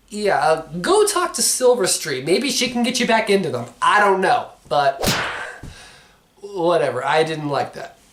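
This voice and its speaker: The speech moves at a fairly slow pace, with noticeable background noise behind it. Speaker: movie reviewer. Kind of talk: casual review monologue. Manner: halting, filler-heavy.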